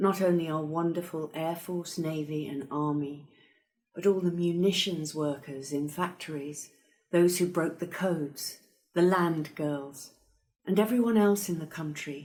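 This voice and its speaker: Speaking at a fairly slow pace, a woman has an ordinary speaking voice, fairly low in pitch, with fairly even intonation. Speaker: actress. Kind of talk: reading of a written message.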